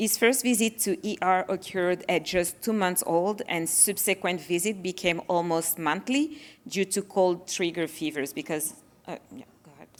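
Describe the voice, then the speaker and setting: In a very clean recording with a silent background, a woman with a French accent speaks at a medium pitch and a moderate pace, her intonation lively and her loudness swinging widely. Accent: French accent, noticeable. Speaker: parent of child with sickle cell disease. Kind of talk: panel presentation.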